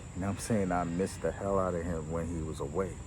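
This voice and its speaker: With an American accent, a man speaks at a very deep, low pitch amid audible room echo. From New York, Caribbean family. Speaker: vlogger. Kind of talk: casual monologue. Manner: loud; animated.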